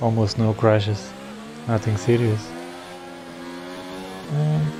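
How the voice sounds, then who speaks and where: Against noticeable background noise, a man speaks at a very slow pace with lively intonation. His pitch is fairly low. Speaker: sim racing gamer. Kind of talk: gameplay commentary. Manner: casual.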